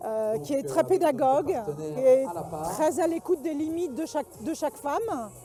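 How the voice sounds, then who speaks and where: A woman's high-pitched voice with lively intonation at a fairly slow pace, music playing in the background. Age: 60s. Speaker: breast cancer survivor, fencing club member. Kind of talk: interview testimony. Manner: hesitant, many fillers.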